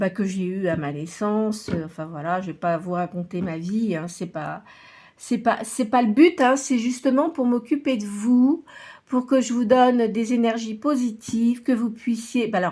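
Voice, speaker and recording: On a very clean recording with a silent background, a woman speaks in a fairly high, somewhat breathy voice at a fairly slow pace, with lively intonation. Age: 60s. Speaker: tarot reader and medium. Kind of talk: tarot reading monologue. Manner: hesitant, many filler sounds.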